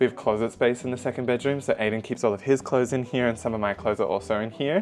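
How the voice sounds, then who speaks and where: A man with an Australian accent talks at a very fast pace. His voice is quiet. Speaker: vlogger. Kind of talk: vlog apartment tour. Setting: indoors at home apartment. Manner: quiet to avoid disturbing neighbours; casual, filler-heavy.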